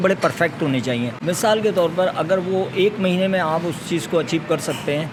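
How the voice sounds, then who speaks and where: A man talks in a high pitch with ordinary pitch variation. Noticeable background noise runs underneath. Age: 60s. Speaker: retired bodybuilder. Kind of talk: interview.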